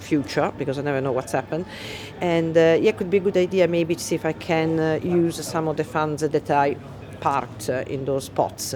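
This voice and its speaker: Amid noticeable background noise, someone talks at a fairly quick pace. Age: 60s. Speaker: wealth management worker. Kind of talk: interview testimony. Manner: halting.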